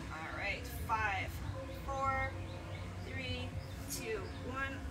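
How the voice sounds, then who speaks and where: Clear music is audible behind the speaker. She is a woman talking. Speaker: fitness instructor. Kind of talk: workout class instruction. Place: garden. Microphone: camera far.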